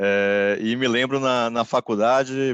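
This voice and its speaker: This man's voice sits at a medium pitch, with fairly even intonation. The sound is dry and close with no echo, over a quiet background. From Brazil, Bahia (Salvador). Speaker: corporate lawyer, panelist. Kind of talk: webinar presentation. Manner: halting, many fillers.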